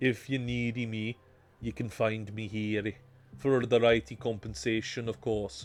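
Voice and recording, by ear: Here, a passage is being read aloud in a natural voice.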